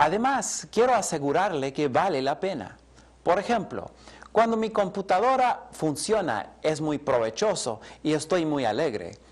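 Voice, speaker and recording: A man speaks with vocal fry at a fairly high pitch. His pitch swings very widely, and his pace is fairly slow. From Colombia, English-speaking home. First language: English (speaking Spanish). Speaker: Bible teacher. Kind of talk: lecture.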